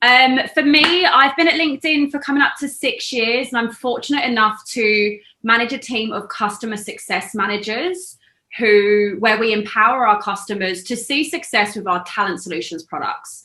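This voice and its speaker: Her tone bright and sharp, a woman talks at a moderate pace with lively intonation and a fairly high pitch. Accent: London. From London, England. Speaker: customer success team manager. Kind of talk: online panel discussion.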